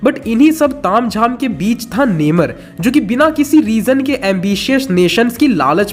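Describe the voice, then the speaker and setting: Over noticeable background noise, a high-pitched man speaks at a fairly slow pace with lively intonation. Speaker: YouTube movie explainer. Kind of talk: scripted narration.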